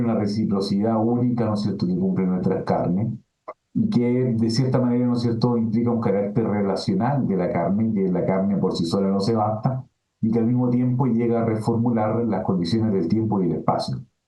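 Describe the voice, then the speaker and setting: A man speaks at a medium pitch with ordinary pitch variation. His pace is fairly quick and his loudness stays very even. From Chile. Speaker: philosophy professor. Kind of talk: webinar lecture answering questions. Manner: filler-heavy, hesitant (eh, ¿no es cierto?).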